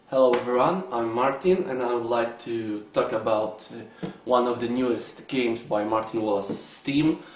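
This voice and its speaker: A man talks with a Polish accent and ordinary pitch variation, leaving hardly any pauses. Noticeable background noise sits behind him. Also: medium pitch for a man, moderate pace. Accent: Polish accent, non-native English. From Poland. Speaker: board game reviewer. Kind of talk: video review. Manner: halting, many filler sounds.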